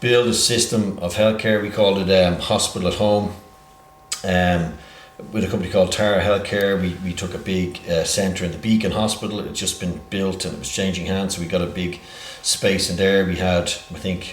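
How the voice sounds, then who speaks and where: A man with a very deep, low voice speaks at a moderate pace in a flat monotone. Noticeable background noise and audible room echo are present. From Ireland, Dublin (born in England). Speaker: healthcare entrepreneur. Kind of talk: interview. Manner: halting, many fillers.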